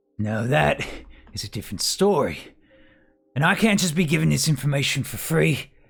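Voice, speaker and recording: Putting on a raspy character voice, a man speaks at a medium pitch and a moderate pace, with long, frequent pauses. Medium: actual play. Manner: haggling, streetwise, calls people love.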